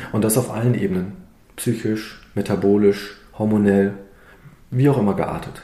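A man speaks at a moderate pace with a fairly low pitch and a dark, mellow tone, his fairly even intonation broken by long, frequent pauses, with audible room echo around him. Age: 50s. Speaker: osteopath and naturopath. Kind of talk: interview. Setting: in his practice.

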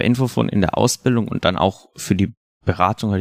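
In an ordinary speaking voice, a man talks at a fairly quick pace with a fairly low pitch and ordinary pitch variation, in a very clean recording with a silent background and a dry, close sound with no echo. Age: 20s. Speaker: student and youth helpline volunteer counselor. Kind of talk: casual interview. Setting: podcast studio.

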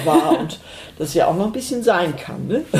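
This woman talks at a moderate pace, and noticeable noise sits behind her. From North Frisia, Eiderstedt peninsula. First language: Low German (speaking German). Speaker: Low German language advocate. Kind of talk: interview. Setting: at home.

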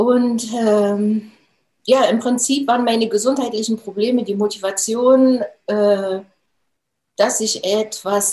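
Very slow speech from a woman, fairly high in pitch, with ordinary pitch variation. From Thuringia, Germany (Jena). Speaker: nutrition expert and trainer. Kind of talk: interview.

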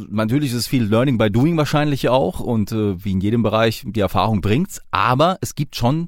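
This very clean recording with a silent background features a man with a slight southern Hessian accent and a medium pitch. He speaks at a moderate pace with lively intonation. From southern Hesse. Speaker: podcast host, police officer. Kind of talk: interview.

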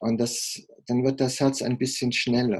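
A dark, mellow tone carries the speech along at a fairly slow pace. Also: man. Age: 50s. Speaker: heart surgeon. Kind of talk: interview.

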